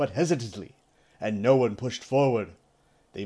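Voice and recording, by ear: Someone reads the text aloud in a natural voice, and the pitch shifts by an ordinary amount.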